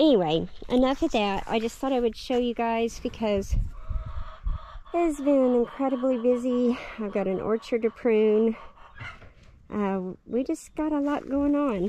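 A woman speaks at a high pitch and a fairly slow pace, with ordinary pitch variation and long, frequent pauses. The sound is dry with no echo, over light background noise. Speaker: homesteader vlogger. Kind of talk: casual vlog chat. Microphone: phone near.

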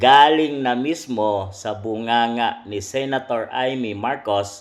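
The speaker is a man. He talks with an ordinary amount of rise and fall in pitch. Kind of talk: news commentary, sensational.

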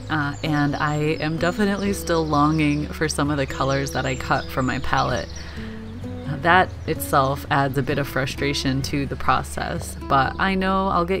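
The speaking pace is moderate. Clear music is heard in the background. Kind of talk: reflective voice-over commentary.

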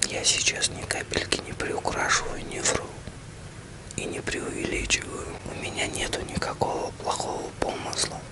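Whispering, a man speaks at a fairly slow pace. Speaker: ASMR channel host. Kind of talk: ASMR roleplay address to a loved one. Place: home room.

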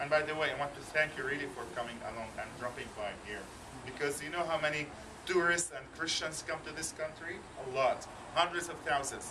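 A man speaks at a fairly quick pace with a fairly high pitch and ordinary pitch variation. His loudness swings widely, and there is noticeable background noise. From Jerusalem. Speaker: Bible college administrator. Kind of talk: welcoming talk to a visiting group. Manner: halting. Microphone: camera far.

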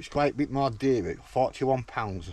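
Light background noise sits under a man's somewhat breathy voice, recorded dry with no echo. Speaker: caravan owner demonstrating gadget. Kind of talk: casual vlog chat. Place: open country. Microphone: phone near.

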